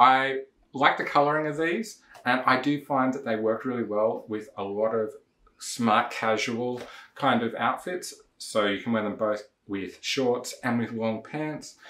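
With a bright, sharp tone and ordinary pitch variation, a man speaks fairly slowly amid audible room echo. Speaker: shoe reviewer. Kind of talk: casual review vlog. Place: home room.

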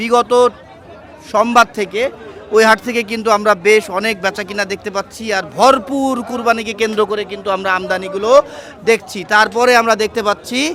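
A man's high-pitched voice is raised and projected over noticeable background noise. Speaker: livestock market vlogger. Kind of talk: live walk-around vlog with interviews. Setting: outdoors at cattle market. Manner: animated.

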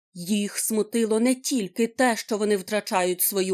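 Natural-voiced reading aloud, intonation fairly even throughout.

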